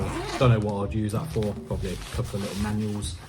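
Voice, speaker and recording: A fairly low-pitched man speaks at a very fast pace. Audible room echo and noticeable background noise are present. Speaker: product reviewer, drone hobbyist. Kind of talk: product review. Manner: casual, hesitant with fillers.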